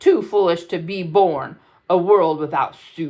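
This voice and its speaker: A booming put-on character voice at a middle pitch and a fairly slow pace, over a quiet background. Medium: read story.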